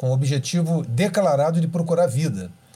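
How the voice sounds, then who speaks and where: The tone is dark and mellow, somewhat breathy. The pace is moderate. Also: man. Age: 50s. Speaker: astrophysicist and professor. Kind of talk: interview, explanatory.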